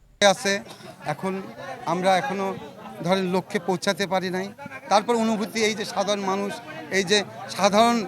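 Over crowd noise in the background, a man speaks at a high pitch with fairly even intonation. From Bangladesh, Pabna (Ishwardi). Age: 50s. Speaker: local politician. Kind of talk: press statement after prison release. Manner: halting.

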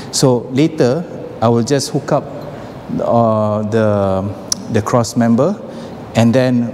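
A man speaks very slowly at a medium pitch, with ordinary pitch variation. Light background noise is present. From Malaysia. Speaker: fitness equipment seller and vlogger. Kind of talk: tutorial vlog. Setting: gym showroom, working alone. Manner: casual, hesitant with fillers. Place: gym. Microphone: lapel.

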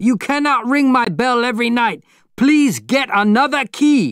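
A man shouts in a put-on character voice at an extremely high pitch, at a fairly slow pace with lively intonation. His tone is fairly bright, clear and smooth, in a very clean recording with a silent background.

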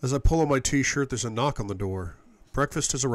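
Someone is reading aloud in a natural voice.

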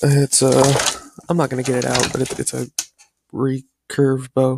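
A man at a fairly quick pace, dry sound with no echo, noticeable background noise behind him. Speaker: youtuber. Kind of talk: casual reaction vlog chat. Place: home room. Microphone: headset.

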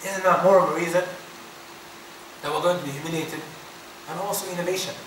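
Over light background noise and audible room echo, a man with a high pitch speaks very fast in a monotone, flat intonation. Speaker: Islamic teacher. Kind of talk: religious lecture. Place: hall. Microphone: podium.

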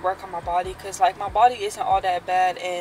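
Noticeable background noise sits behind a woman whose voice is recorded dry, with no echo. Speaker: vlogger. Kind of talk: casual vlog chat. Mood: upbeat, motivated. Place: car. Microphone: phone near.

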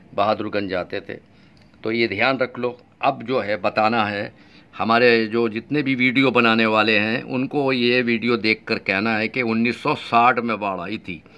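Speaking at a fairly slow pace, a man uses a medium-pitched voice with a bright, sharp tone and fairly even intonation. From Uttar Pradesh, India. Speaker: YouTube vlogger. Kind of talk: vlog monologue. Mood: earnest, insistent. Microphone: phone near.

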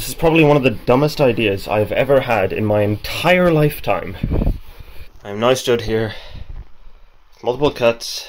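Amid noticeable background noise, a man at a medium pitch talks at a moderate pace with ordinary pitch variation and long, frequent pauses. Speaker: university student. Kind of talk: casual talk to camera.

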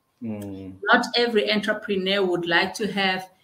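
A woman at medium pitch and a fairly slow pace, with audible room echo. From South Africa. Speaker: bank executive and chartered accountant; guest. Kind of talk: interview. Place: office. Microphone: webcam.

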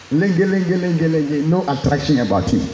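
Against light background noise and audible room echo, a man speaks at a moderate pace. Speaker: preacher. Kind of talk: sermon. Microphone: handheld.

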